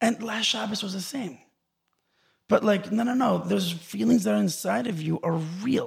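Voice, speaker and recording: With long, frequent pauses, a man speaks in a high pitch using lively intonation. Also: moderate pace. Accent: American. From Los Angeles and Israel. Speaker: musician. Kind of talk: interview. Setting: studio.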